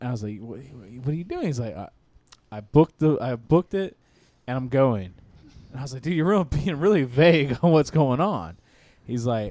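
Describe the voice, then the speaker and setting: Delivered at a fairly quick pace, the dark, mellow voice carries lively intonation broken by long, frequent pauses. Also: man, medium pitch for a man. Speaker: podcast host. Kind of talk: casual banter.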